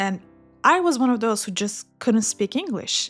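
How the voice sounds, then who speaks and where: The speaker has a Turkish accent. The intonation is lively. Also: woman. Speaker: English learning YouTuber. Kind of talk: personal storytelling. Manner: slow, clear.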